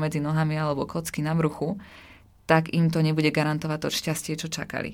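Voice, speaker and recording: Her pitch is very deep and low. This woman is captured on a very clean recording with a silent background. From Slovakia, small village. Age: 20s. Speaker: nutrition student and fitness influencer. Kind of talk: interview.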